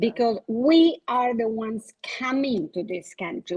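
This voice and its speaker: Pitched high, a woman talks with a non-native accent. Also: dry, close sound with no echo. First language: Spanish. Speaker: insurance agent, panelist. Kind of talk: panel discussion. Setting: virtual event.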